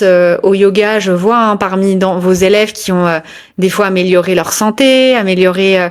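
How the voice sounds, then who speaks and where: A woman talks in a normal speaking voice at medium pitch. Her pace is moderate. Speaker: yoga business coach and interviewer. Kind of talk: podcast interview host.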